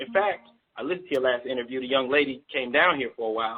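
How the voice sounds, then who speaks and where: A man talks with a fairly high pitch. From Baltimore, Maryland, US. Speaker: rapper and label owner. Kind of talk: radio interview. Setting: live radio broadcast. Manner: fast.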